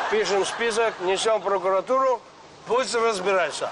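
Noticeable background noise sits behind a man who talks at a fairly slow pace with ordinary pitch variation. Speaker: comic character. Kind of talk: scripted sketch dialogue. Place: street.

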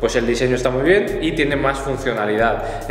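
Audible room echo and light background noise surround a man talking at a very fast pace. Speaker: fitness vlogger. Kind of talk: casual product review vlog. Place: gym. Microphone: camera far.

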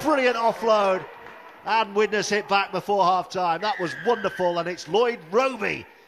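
A man speaks with a high pitch and an animated tone, his pitch varying in an ordinary way. Crowd noise is heard in the background. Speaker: rugby league commentator. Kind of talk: live sports commentary. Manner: animated, fast-paced play-by-play.

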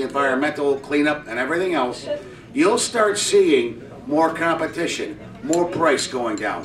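Lively in his intonation, a man speaks at a moderate pace against noticeable background noise. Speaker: audience member. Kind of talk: open-floor discussion.

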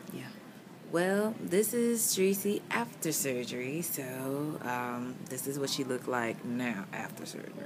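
Over noticeable background noise, a woman with a very deep, low pitch speaks at a fairly slow pace. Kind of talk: casual vlog chat. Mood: reflective, a bit loopy. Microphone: phone near.

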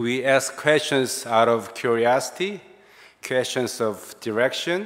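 A man speaks at a very slow pace with ordinary pitch variation against a quiet background. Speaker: pastor preaching. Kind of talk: sermon. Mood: warm, smiling. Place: church. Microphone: podium.

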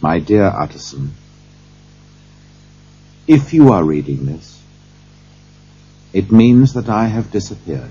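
Using a put-on character voice, a man speaks slowly with a low pitch, a dark, mellow tone, big pitch swings and long, frequent pauses.

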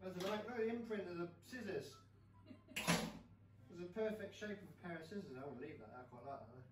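Loud background noise behind a man's fairly quick delivery. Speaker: home cook vlogger. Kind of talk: casual vlog chat. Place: kitchen. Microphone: camera far.

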